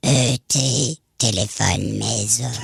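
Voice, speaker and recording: In a put-on character voice, a man speaks at a very slow pace, raspy and medium in pitch. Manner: slow, alien-like.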